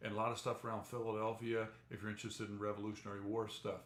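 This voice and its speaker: Noticeable background noise and audible room echo fill the recording. A man with an American accent speaks in a monotone, flat intonation. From New Jersey. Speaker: travel vlogger. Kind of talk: live stream chat.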